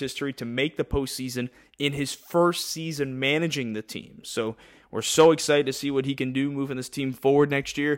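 A man speaks in an ordinary speaking voice at a moderate pace, fairly high in pitch with fairly even intonation, on a very clean recording with a silent background. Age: 20s. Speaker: baseball play-by-play announcer and podcast host. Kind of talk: sports podcast roster rundown.

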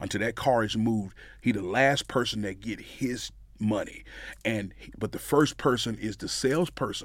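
With a Mississippi accent, a man talks with ordinary pitch variation and big swings in loudness. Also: medium pitch for a man, moderate pace. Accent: Southern US, Mississippi. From Mississippi, US South. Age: 40s. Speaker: pitmaster and pastor. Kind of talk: casual interview.

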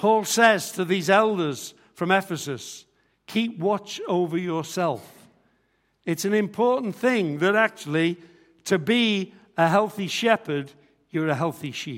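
The speaker talks at a fairly slow pace with ordinary pitch variation. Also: man, high pitch for a man, very clean recording, silent background. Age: 60s. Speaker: visiting retired pastor. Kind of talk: sermon. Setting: church.

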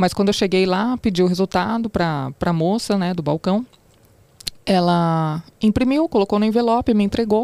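A woman speaks at a moderate pace with a medium pitch and a dark, mellow tone. The sound is dry and close, with no echo. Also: ordinary pitch variation. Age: 30s. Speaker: TV reporter, cancer survivor. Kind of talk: testimony.

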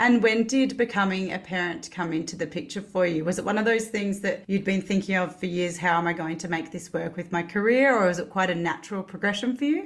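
With an Australian accent, a woman talks at a very fast pace and ordinary pitch variation. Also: medium pitch for a woman, hardly any pauses. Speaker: podcast host. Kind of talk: casual interview.

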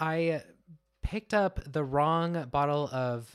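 In a very clean recording with a silent background, a man talks with ordinary pitch variation. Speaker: podcast co-host. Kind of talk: casual chat. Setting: studio. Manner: energetic, wired.

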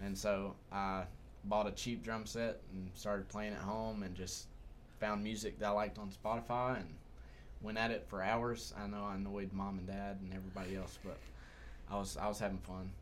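With a Southern US accent, a man speaks at a moderate pace in a fairly low pitch with fairly even intonation. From Humboldt, Tennessee. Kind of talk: casual chat.

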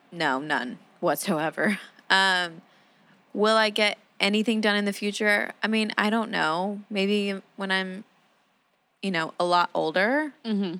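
A woman of medium pitch with an unremarkable speaking voice, a fairly slow pace and ordinary pitch variation, on a very clean recording with a silent background. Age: 20s. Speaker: podcast co-host. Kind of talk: casual chat. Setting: in a car.

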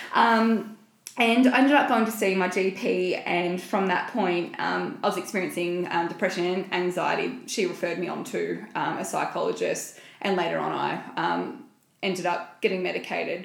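Moderate pace amid noticeable background noise and audible room echo. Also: woman. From small rural town. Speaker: podcast co-host. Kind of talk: casual chat.

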